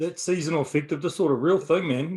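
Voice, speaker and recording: In a New Zealand accent, a man talks at a very fast pace with fairly even intonation. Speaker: bodybuilding podcast co-host. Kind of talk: casual chat.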